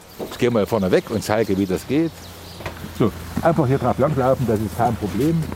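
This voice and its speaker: A man talks at a fairly quick pace with lively intonation but leaves long, frequent pauses. Noticeable background noise sits behind him. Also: medium pitch for a man. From Thuringia, Erfurt. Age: 70s. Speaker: market gardener. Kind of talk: interview on location. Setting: outdoors.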